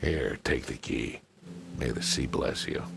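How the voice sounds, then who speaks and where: A man puts on a character voice and talks fairly slowly while clear music plays in the background. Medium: video game. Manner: curt, streetwise.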